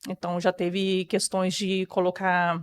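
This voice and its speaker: Her voice sits at a medium pitch. Behind the woman, the background is silent on a very clean recording. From Brazil, rural Rio de Janeiro state (Campos dos Goytacazes area). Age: 30s. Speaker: interview guest sharing life story. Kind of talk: personal testimony.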